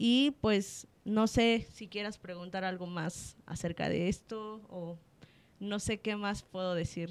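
The woman speaks very slowly at medium pitch. Her intonation is fairly even. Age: 20s. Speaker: psychologist. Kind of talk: interview. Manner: halting.

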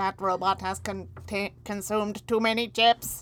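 Here a female-sounding voice uses a put-on character voice at a medium pitch for a woman. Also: moderate pace. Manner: exaggerated, comedic.

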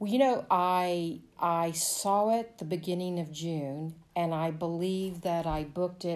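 A woman uses a normal speaking voice at a fairly low pitch. Her intonation is fairly even and her pace fairly slow. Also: very clean recording, silent background. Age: 50s. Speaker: resort guest. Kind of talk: interview.

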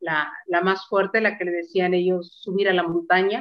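A woman's voice at a medium pitch stays in monotone, flat intonation. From Mexico. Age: 60s. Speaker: interviewee sharing health testimony. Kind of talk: testimony.

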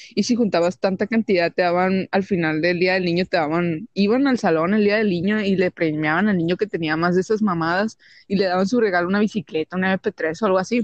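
Animated in tone, a woman with a Mexican accent speaks fairly quickly at a medium pitch with ordinary pitch variation, very even loudness and hardly any pauses, in a dry, close sound with no echo and a quiet background. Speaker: podcast host. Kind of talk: casual chat.

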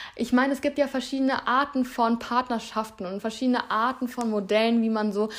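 Speaking at a fairly quick pace, a woman with a fairly high pitch sounds animated in a very clean recording with a silent background. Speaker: podcast host and influencer. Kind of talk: solo advice monologue.

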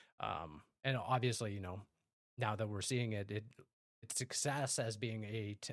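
Moderate pacing and ordinary pitch variation in a normal speaking voice. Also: man. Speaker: podcast host. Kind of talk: casual chat.

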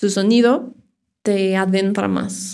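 At a medium pitch, a woman's voice comes through. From Mexico, Irapuato, Guanajuato. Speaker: sound therapist. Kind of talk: casual interview.

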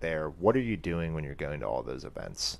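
A man with a very deep, low pitch and vocal fry talks at a very fast pace, with ordinary pitch variation. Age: 30s. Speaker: podcast host and fitness studio owner. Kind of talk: casual interview chat.

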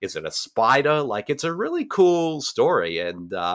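Someone with an Australian accent is heard on a very clean recording with a silent background. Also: man. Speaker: podcast host. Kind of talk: casual interview chat.

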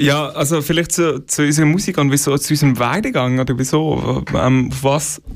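An ordinary speaking voice at a moderate pace, with fairly even intonation and hardly any pauses. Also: man, fairly high pitch for a man. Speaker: musician. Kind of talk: casual interview.

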